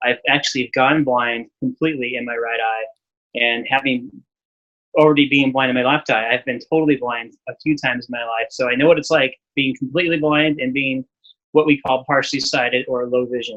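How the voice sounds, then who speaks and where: At a fairly quick pace, a man talks with a medium pitch. His intonation stays fairly even. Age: 40s. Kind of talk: interview. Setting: podcast interview. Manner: halting, with fillers and repeats.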